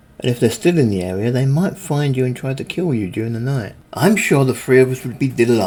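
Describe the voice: Text read plainly aloud, pitch varying ordinarily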